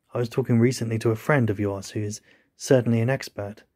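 Somewhat breathy and dark, mellow in tone, a man talks at a fairly quick pace with fairly even intonation in a very clean recording with a silent background. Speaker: audiobook narrator. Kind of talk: literary audiobook reading, scripted narration of a novel. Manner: measured, formal, suspenseful narration.

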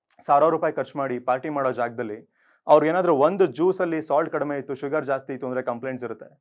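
Against a quiet background, a man with a plain, everyday voice speaks at a fairly high pitch with ordinary pitch variation. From Bengaluru, Karnataka. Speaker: corporate trainer and NGO founder. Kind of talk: motivational talk.

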